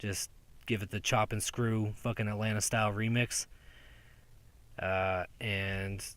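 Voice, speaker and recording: The recording is very clean, with a silent background. A man speaks at a moderate pace in a fairly low, monotone, flat voice, with long, frequent pauses. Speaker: podcaster. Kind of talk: casual vlog monologue. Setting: outdoors.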